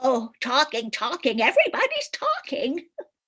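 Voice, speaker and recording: In a put-on character voice, a woman speaks at a moderate pace in a sing-song way at a high pitch. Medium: stage play. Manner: rambling, singsong, giggly.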